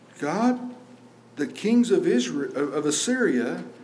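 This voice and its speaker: With lively intonation, a man speaks while noticeable noise fills the background. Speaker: pastor. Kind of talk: sermon; fervent prayer. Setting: church. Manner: earnest, pleading; conversational, with repetition and fillers.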